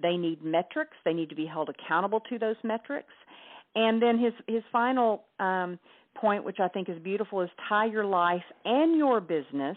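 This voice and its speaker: In a Southern US accent, a woman speaks with lively intonation. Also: medium pitch for a woman, moderate pace. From US South, Hot Springs, Arkansas. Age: 50s. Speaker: author and entrepreneur. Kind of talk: interview.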